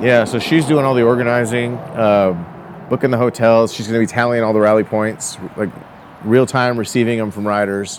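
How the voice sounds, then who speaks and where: Noticeable background noise accompanies a man whose intonation stays fairly even. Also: medium pitch for a man, moderate pace. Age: 40s. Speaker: motorcycle rally organizer. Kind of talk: casual chat.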